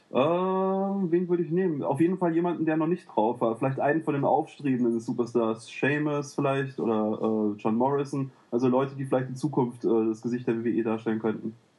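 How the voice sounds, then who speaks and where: Talking at a fairly quick pace with hardly any pauses, a man with an unremarkable speaking voice uses lively intonation at a medium pitch. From Cologne, Germany. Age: 30s. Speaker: gaming forum user. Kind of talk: casual chat.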